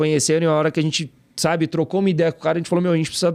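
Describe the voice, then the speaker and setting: A man against a quiet background. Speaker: podcast host. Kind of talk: casual podcast chat.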